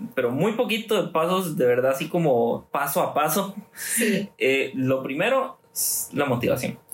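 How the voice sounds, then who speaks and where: A man with a fairly high pitch, lively intonation and a fairly slow pace, over noticeable background noise. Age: 20s. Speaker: youth group leader. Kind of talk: casual chat.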